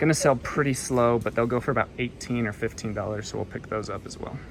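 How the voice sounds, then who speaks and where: Through noticeable background noise, a man speaks at a very fast pace and medium pitch. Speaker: thrift reseller vlogger. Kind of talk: casual vlog narration. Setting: thrift store. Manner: animated.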